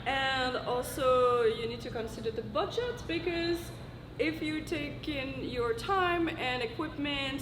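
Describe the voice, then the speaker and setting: Amid audible room echo and noticeable background noise, a woman speaks with a high pitch, lively intonation and a French accent. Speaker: YouTuber giving a convention panel talk. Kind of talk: convention panel presentation. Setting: stage with audience at convention panel.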